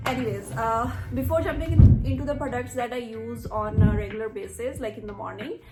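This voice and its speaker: A woman with a slight Punjabi accent speaks with big swings in loudness, with audible room echo and music in the background. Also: fairly quick pace. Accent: slight Punjabi touch in her Hindi. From India, Punjab. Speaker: beauty vlogger. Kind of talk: tutorial. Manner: casual, mixes Hindi and English.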